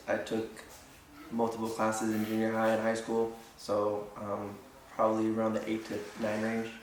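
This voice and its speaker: A man's medium-pitched voice, with noticeable background noise and audible room echo. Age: 20s. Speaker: interviewee. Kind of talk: interview.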